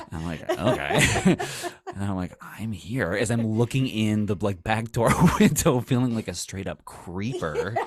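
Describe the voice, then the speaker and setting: Fairly slowly, a man talks in a fairly low voice. There is noticeable background noise. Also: ordinary pitch variation. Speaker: podcast co-host. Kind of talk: casual chat. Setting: home studio. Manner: soft-spoken.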